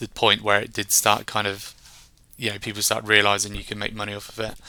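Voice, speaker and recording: A man with a southern English accent talks at a fairly quick pace, his fairly low voice bright and sharp in tone. The recording is very clean, with a silent background. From England, Reading. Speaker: software solutions engineer. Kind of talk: interview. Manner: monotone.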